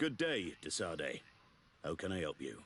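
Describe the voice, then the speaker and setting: A man's raspy, put-on character voice at a very deep, low pitch and a moderate pace. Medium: video game. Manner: curt, dismissive.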